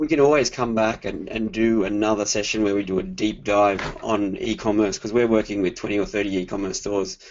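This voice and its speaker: With hardly any pauses, a man talks fairly quickly in an Australian accent, his fairly low voice showing ordinary pitch variation. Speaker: digital marketing consultant. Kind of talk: webinar presentation. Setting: online webinar.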